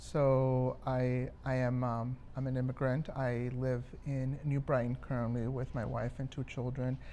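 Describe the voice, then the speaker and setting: A man speaks at a fairly slow pace with hardly any pauses, in a medium-pitched voice with a dark, mellow tone. His intonation is monotone and flat. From Minnesota, Twin Cities (born in Mexico). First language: Spanish. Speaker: community advocate. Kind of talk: interview. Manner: hesitant, many fillers.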